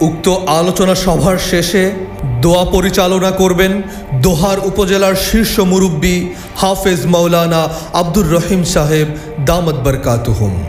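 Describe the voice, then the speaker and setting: Music plays in the background as a man speaks with a high pitch. His intonation is fairly even and his loudness very even. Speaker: loudspeaker announcer. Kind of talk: public event announcement (miking recording). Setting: PA system. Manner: formal, loud, emphatic.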